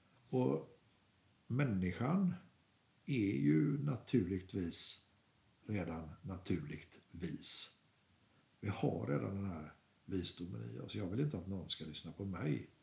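Very deep and low, a man's voice carries vocal fry and a calm tone, with very wide pitch swings and long, frequent pauses. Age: 60s. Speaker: artist. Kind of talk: interview. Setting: artist's studio.

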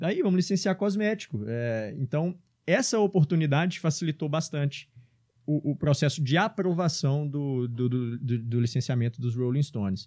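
Lively in intonation, a man with a fairly high pitch and a dark, mellow tone speaks at a moderate pace. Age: 30s. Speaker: entrepreneur. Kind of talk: interview. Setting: studio.

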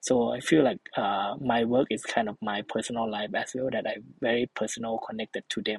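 The speaker has a Thai accent. The pace is fairly quick, with hardly any pauses. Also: man, medium pitch for a man, fairly even intonation. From northeastern Thailand. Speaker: social entrepreneur, travel company founder. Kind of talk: interview conversation. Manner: halting, filler-heavy.

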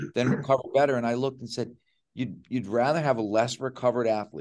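A man speaks in a plain, everyday voice at medium pitch. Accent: American. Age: 60s. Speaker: strength and conditioning coach. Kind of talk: casual chat. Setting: video call from a small work studio.

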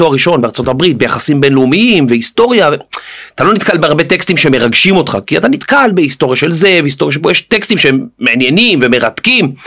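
A man talks very fast in a fairly high voice with very wide pitch swings. His loudness stays very even. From Israel, with teen years in the US. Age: 40s. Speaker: podcaster. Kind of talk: interview.

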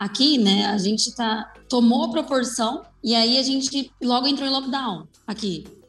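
Noticeable background noise behind a woman, her pace moderate and her pitch variation ordinary. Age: 20s. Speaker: makeup artist. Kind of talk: casual chat.

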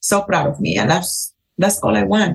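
A woman with a Cuban accent talks at a fairly quick pace. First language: Spanish. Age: 40s. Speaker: hairstylist. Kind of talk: casual chat. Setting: trade show. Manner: animated.

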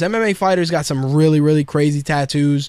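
With a New York accent, the speaker talks at a very fast pace with ordinary pitch variation, on a very clean recording with a silent background. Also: man. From New York City (Queens), Puerto Rican heritage. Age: 30s. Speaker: podcast host. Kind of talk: casual monologue.

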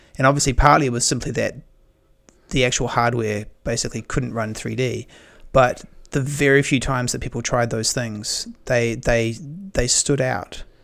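A man in a New Zealand accent speaks at a medium pitch and moderate pace, with ordinary pitch variation. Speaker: podcast host. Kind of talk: casual interview conversation. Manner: halting, frequent repetitions.

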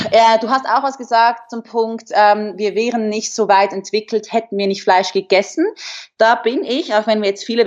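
With a quiet background, a woman speaks at a fairly quick pace in an unremarkable speaking voice, her medium pitch carrying ordinary pitch variation. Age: 20s. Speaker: fitness model. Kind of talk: casual interview. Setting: video call.

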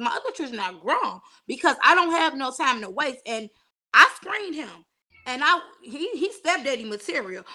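A woman projects a raised voice with a bright, sharp tone at a moderate pace. Her pitch swings very widely. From Chicago, South Side. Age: 40s. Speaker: single mother and author. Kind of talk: casual interview chat.

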